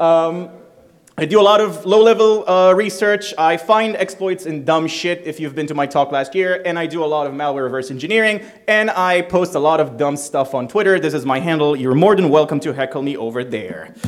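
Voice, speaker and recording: Speaking with an Israeli accent, a man uses a fairly high pitch, fairly quick pace, and ordinary pitch variation over noticeable background noise. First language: Hebrew. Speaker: security researcher. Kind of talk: conference talk. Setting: stage with audience. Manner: casual, irreverent, fast.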